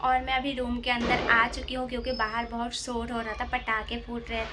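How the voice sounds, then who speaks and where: A woman with an Assamese accent speaks in a fairly high pitch with monotone, flat intonation. Music plays in the background, and room echo is audible. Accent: non-native Hindi, Assamese. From Assam, India. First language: Assamese (speaking Hindi). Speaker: vlogger. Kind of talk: casual vlog. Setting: indoors at home.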